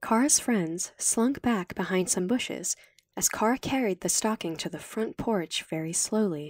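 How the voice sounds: It is a natural reading voice. The delivery sounds like reading.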